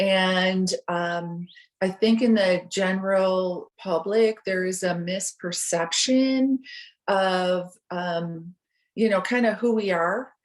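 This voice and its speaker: Speaking very slowly in an American accent, a woman keeps a medium pitch and fairly even intonation. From US Midwest, Chicago. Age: 60s. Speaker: person in recovery. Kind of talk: interview. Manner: hesitant, many fillers.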